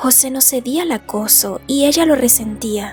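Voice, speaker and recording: Soft-spoken and fairly slow, a woman talks with ordinary pitch variation over music in the background. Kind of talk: sleep story. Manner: soft-spoken, relaxing.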